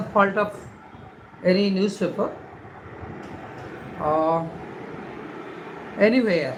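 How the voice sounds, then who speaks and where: With noticeable background noise and audible room echo, a woman speaks fairly slowly at medium pitch with ordinary pitch variation and long, frequent pauses. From India. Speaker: livestreamer. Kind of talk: casual live stream, reading newspaper headlines. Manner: halting.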